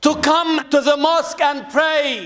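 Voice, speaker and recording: Against a quiet background, a man speaks very slowly in a solemn tone at an extremely high pitch. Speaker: preacher. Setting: mosque, addressing a congregation. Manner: warm, pleading tone when addressing the congregation as 'beloved ones'. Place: home room. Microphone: studio mic.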